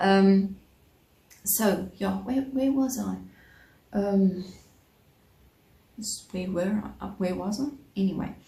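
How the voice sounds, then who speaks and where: Somewhat breathy and at a medium pitch, a woman with a South African accent speaks at a very slow pace with ordinary pitch variation and long, frequent pauses, in audible room echo. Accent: South African Afrikaans-accented English. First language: Afrikaans. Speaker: crochet vlogger. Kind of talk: casual vlog chat. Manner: halting, many fillers.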